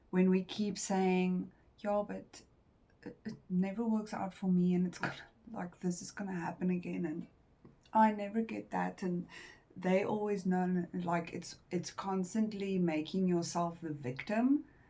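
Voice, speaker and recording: Somewhat breathy and dark, mellow in tone, the voice speaks fairly slowly with fairly even intonation and a non-native accent. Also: woman, medium pitch for a woman. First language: not English. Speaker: tarot reader. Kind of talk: tarot reading. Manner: halting.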